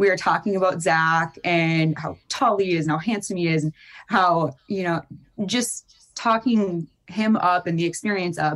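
Here a woman with an Upper Midwest accent speaks at a fairly slow pace. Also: fairly low pitch for a woman, ordinary pitch variation. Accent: Upper Midwest American. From Fargo, North Dakota. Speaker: reality TV contestant. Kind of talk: interview.

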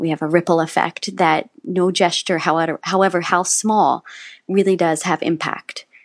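This woman has a plain, everyday voice with an American accent, a fairly low pitch and fairly even intonation. She talks at a moderate pace in a dry, close sound with no echo. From West Virginia. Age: 40s. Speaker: musical theater actor. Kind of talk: interview conversation.

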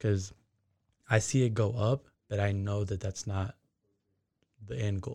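A man's fairly low, dark, mellow voice, somewhat breathy, with long, frequent pauses, in a very clean recording with a silent background and a dry, close sound with no echo. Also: ordinary pitch variation, fairly slow pace. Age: 20s. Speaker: forex and crypto trader. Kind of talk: casual interview.

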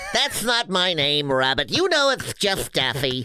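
Using a put-on character voice, a man speaks at a fairly high pitch and a moderate pace amid clear background noise. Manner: cartoonish.

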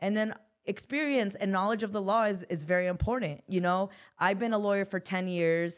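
Speaking in an unremarkable speaking voice with an American accent, a woman keeps a medium pitch and a moderate pace with ordinary pitch variation. The recording is very clean, with a silent background. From US West Coast, South Central Los Angeles. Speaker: personal injury attorney. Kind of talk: interview.

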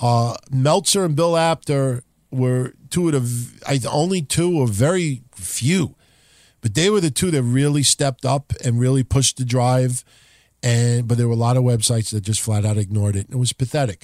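The voice shows ordinary pitch variation, with a dry, close sound that has no echo, in a very clean recording over a silent background. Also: man, medium pitch for a man, moderate pace. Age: 40s. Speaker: wrestling podcast host. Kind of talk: casual chat. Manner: animated.

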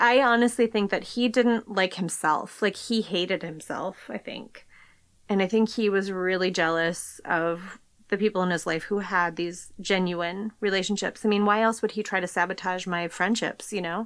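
On a very clean recording with a silent background, a woman with a plain, everyday voice speaks at a moderate pace and medium pitch, her intonation fairly even. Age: 40s. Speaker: podcast guest sharing a personal secret. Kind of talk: personal testimony.

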